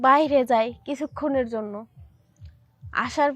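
A woman's high-pitched voice. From Bangladesh, Manikganj. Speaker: storyteller sharing personal experience. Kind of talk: personal testimony. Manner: halting.

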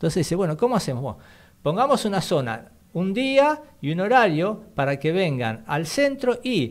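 A man talks in a high voice at a fairly slow pace. His pitch swings very widely. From Argentina. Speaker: radio co-host, history segment; radio co-host. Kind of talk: radio talk show, history explainer. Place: studio. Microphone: studio mic.

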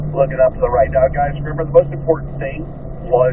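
Over noticeable background noise, a man talks at a very fast pace, the sound dry with no echo. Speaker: driving instructor. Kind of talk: instruction. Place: car.

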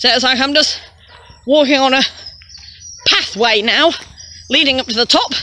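A woman projects a raised voice at a high pitch. Noticeable background noise is present. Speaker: vlogger. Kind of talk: casual talk to camera.

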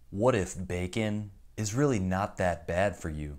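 Against a quiet background, a man with a very deep, low voice speaks at a fairly slow pace with ordinary pitch variation. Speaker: youtuber. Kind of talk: commentary. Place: home room.

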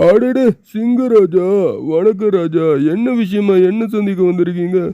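A cartoonish character voice talks at a fairly slow pace. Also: man, high pitch for a man.

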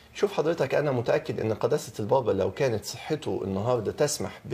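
The man's tone is dark and mellow, with a somewhat breathy quality. He keeps to a moderate pace. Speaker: talk show guest. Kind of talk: interview answer. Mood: earnest, measured. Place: studio.

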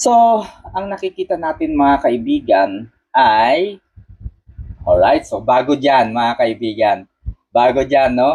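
Pausing often and at length, the man speaks at a very slow pace. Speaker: political commentator. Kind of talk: live stream commentary.

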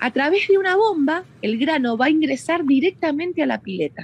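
A woman at a moderate pace, her pitch swinging very widely, amid noticeable background noise. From Argentina, Mendoza. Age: 30s. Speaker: winery tourism manager. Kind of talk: guided tour explanation. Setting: on location at a winery.

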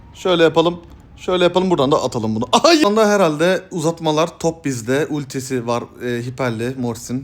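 The delivery is animated, with very wide pitch swings. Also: man. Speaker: gaming youtuber. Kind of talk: gameplay commentary.

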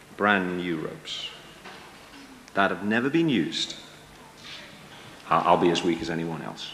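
A put-on character voice at a slow pace, with vocal fry, a fairly bright tone, lively intonation and audible room echo. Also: man, low pitch for a man.

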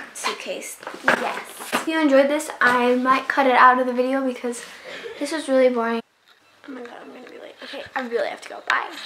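A woman speaks fairly quickly in a high, flat monotone, her loudness swinging widely amid audible room echo. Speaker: travel vlogger. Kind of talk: casual vlog.

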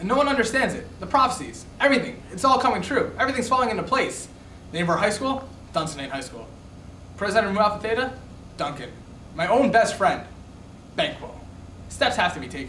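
With light background noise and audible room echo, a man talks at a very fast pace, his pitch extremely high and his intonation lively. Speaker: student actor. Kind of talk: comedic scripted monologue. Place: classroom. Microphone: camera far.

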